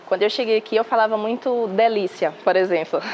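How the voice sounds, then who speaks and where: Ordinary pitch variation in a fairly high female voice. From Salvador, Bahia, Brazil. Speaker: news reporter. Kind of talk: interview.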